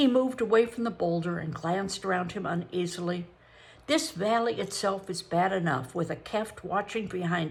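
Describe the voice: Pitch moves in an ordinary way through this plain reading aloud.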